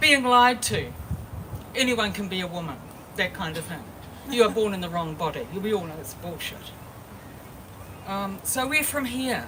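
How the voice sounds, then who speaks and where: Amid noticeable background noise and audible room echo, a woman with a New Zealand accent speaks at a medium pitch and moderate pace, her intonation lively, her loudness swinging widely, with long, frequent pauses. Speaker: activist speaker. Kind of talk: protest speech.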